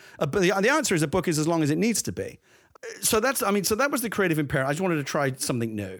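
Very fast speech in a London accent swings very widely in pitch. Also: man, high pitch for a man. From London, East End. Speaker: screenwriter and novelist. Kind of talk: casual chat. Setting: video call.

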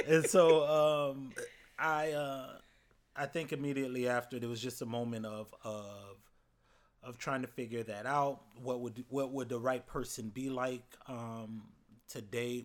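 A man with a normal speaking voice, medium pitch, fairly even intonation and an American accent, at a fairly slow pace on a very clean recording with a silent background. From Florida. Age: 30s. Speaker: university student-affairs educator.

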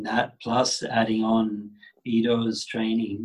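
Speaking at medium pitch, a man moves at a very slow pace. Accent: Australian. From Australia, Sydney. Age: 40s. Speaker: yoga teacher. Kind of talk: casual interview.

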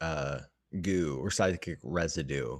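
A man with an American accent and vocal fry on a very clean recording with a silent background. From Washington state, US. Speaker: podcast host. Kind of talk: casual chat. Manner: halting.

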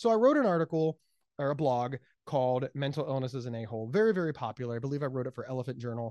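Animated, very fast American-accented speech over a quiet background. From Ohio. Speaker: speaker, author and mental health advocate. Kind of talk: casual interview chat. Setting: phone or remote call. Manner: high-energy, loud, animated.

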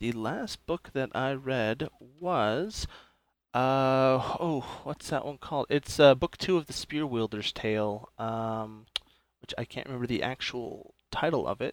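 Dry and close with no echo, a man uses an ordinary speaking voice at medium pitch, with ordinary pitch variation and a fairly slow pace. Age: 30s. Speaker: mental health worker. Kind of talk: casual chat.

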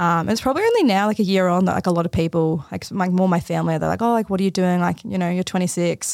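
A woman with an Australian accent and a medium-pitched voice speaks very fast with hardly any pauses and fairly even intonation, in a very clean recording with a silent background. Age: 20s. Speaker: forensic scientist. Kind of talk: casual chat. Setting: studio.

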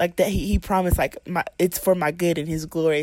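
The sound is dry and close with no echo, on a very clean recording with a silent background. It is a normal speaking voice with fairly even intonation. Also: woman. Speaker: college student. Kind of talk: personal faith testimony.

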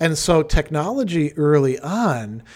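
A man with an ordinary speaking voice, fairly high in pitch, lively in intonation, on a very clean recording with a silent background. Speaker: philosophy podcast co-host. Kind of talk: casual chat. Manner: fluent, explanatory, repeats words.

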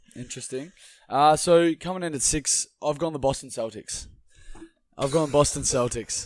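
At a moderate pace, the speaker uses an Australian accent with ordinary pitch variation on a very clean recording with a silent background. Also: man, fairly high pitch for a man. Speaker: sports podcast co-host. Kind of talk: casual sports chat.

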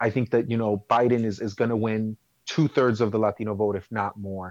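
A man with an American accent and an unremarkable speaking voice talks at medium pitch and a moderate pace, in a dry, close sound with no echo. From Chicago. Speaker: city council member. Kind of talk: interview.

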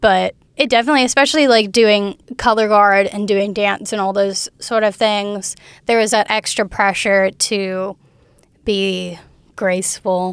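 On a very clean recording with a silent background, a woman with an American accent uses a normal speaking voice at medium pitch, speaking at a fairly slow pace with fairly even intonation. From US South, Alabama Gulf Coast. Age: 20s. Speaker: university student. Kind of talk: interview.

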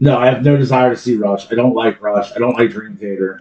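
Loud and at a fairly quick pace, a man delivers his lines. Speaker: podcast co-host. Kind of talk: casual chat.

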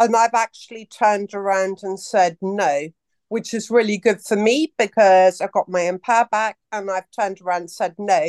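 In a plain, everyday voice at a medium pitch, a woman speaks at a moderate pace with ordinary pitch variation, the sound dry and close with no echo over a quiet background. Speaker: caller asking a question. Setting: call.

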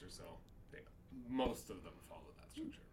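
This man's very fast delivery comes with audible room echo. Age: 40s. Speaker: comedian. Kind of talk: casual chat.

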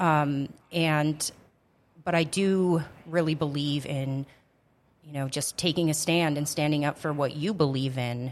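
A woman with an American accent speaks at a fairly slow pace with long, frequent pauses, a very deep, low pitch and fairly even intonation, in a very clean recording with a silent background. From US Upper Midwest, Grand Forks, North Dakota. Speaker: city council member. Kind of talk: casual interview. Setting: studio.

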